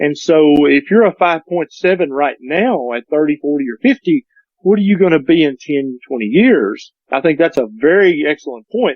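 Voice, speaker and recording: With an unremarkable speaking voice, a man speaks at a fairly high pitch with lively intonation. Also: moderate pace. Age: 50s. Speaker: doctor. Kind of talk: casual chat.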